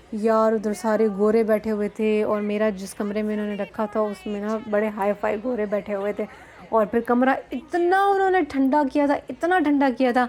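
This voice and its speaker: A woman speaks at a fairly high pitch with ordinary pitch variation and hardly any pauses over noticeable background noise. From Balochistan, Pakistan. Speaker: vlogger, academic speaker. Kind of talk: casual storytelling vlog. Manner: animated, code-switching Hindi-Urdu and English; hesitant fillers.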